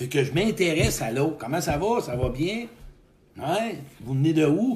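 A man with a Quebec accent and fairly high pitch talks at a moderate pace, with lively intonation and an animated tone. Audible room echo and noticeable background noise surround him. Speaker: motivational speaker. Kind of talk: live stream talk. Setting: live video stream.

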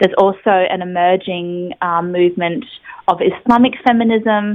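A woman speaks with an Australian accent. Her pitch is medium and her intonation fairly even. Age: 30s. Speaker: community advocate and conference speaker. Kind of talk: radio interview. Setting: phone call.

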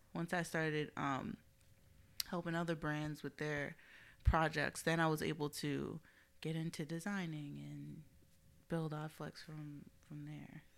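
A woman speaks with a very deep, low pitch and a monotone, flat intonation, her loudness swinging widely. Long, frequent pauses break up her speech in a very clean recording with a silent background. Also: fairly slow pace. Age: 20s. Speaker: creative director and entrepreneur. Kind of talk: casual chat. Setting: studio.

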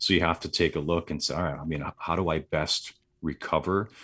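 Over a quiet background, a man talks with an American accent. His pace is moderate and his pitch variation ordinary. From US Midwest, southeast Wisconsin. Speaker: entrepreneur, retreat organizer. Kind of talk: interview, casual chat.

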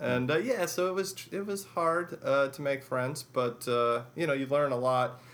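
With a plain, everyday voice, a man speaks in an American accent at a fairly slow pace and fairly high pitch, with ordinary pitch variation and hardly any pauses. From Chicago, US Midwest. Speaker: professor of government. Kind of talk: interview.

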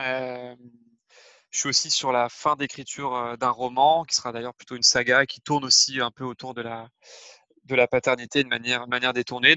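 His intonation monotone and flat, a man speaks at medium pitch. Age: 30s. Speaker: parenting blogger and father. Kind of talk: interview testimony. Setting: remote recording. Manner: hesitant, many fillers.

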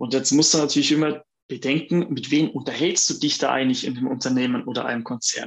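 An unremarkable speaking voice from a man, fairly high in pitch, with fairly even intonation. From Allgäu, southern Germany. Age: 40s. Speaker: workplace health manager and lecturer. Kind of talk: interview. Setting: video call.

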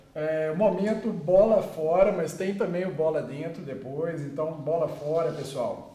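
Over noticeable background noise, a man with a high pitch talks at a fairly slow pace with ordinary pitch variation and hardly any pauses. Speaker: podcast co-host, business development. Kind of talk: interview.

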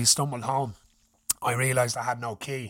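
A man with an Irish accent sounds furious and animated, his tone bright and sharp, on a very clean recording with a silent background. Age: 30s. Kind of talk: casual chat, then an angry rant done as a story. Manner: loud, furious, swearing, animated, mimicking his father's rage.

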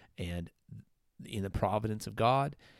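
Speaking with an Upper Midwestern accent, a man uses ordinary pitch variation. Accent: Upper Midwestern American. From US Midwest. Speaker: church podcast co-host. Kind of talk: casual Bible discussion.

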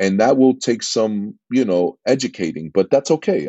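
A man speaks in an American accent. His pitch is medium and his pace moderate. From New York, Queens. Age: 50s. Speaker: entrepreneur, former music producer. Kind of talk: interview.

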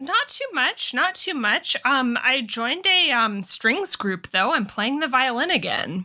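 A woman's raised, projected voice, high-pitched and bright and sharp in tone, with very wide pitch swings at a fairly slow pace. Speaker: podcast co-host. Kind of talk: casual chat.

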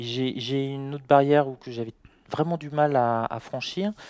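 Fairly high in pitch, a man with a normal speaking voice talks at a fairly slow pace with fairly even intonation. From France. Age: 40s. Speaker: trader. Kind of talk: interview.

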